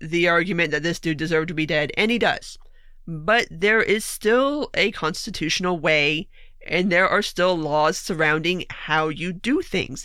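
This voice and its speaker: A woman with an American accent, fairly slow pace, lively intonation and a bright, sharp tone, on a very clean recording with a silent background. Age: 30s. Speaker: political podcast host. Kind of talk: solo political commentary podcast. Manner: animated.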